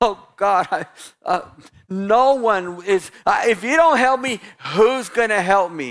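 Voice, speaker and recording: A put-on character voice, fairly high and whiny, comes through. It moves at a very slow pace. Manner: whiny, self-pitying.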